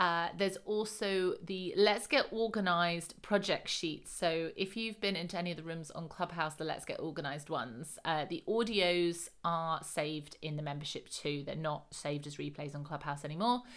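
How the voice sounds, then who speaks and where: A woman with a British accent speaks at a moderate pace with fairly low pitch, ordinary pitch variation and hardly any pauses, on a very clean recording with a silent background. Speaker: lifestyle coach. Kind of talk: solo podcast monologue. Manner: casual, hesitant with many fillers; laughs often.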